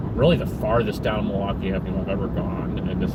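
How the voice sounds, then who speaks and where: A man with an American accent speaking very fast, with audible room echo and noticeable background noise. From Chicago area, Illinois. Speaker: vlogger. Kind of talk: casual live-stream chat while driving. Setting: in a car. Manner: halting, many fillers and repetitions.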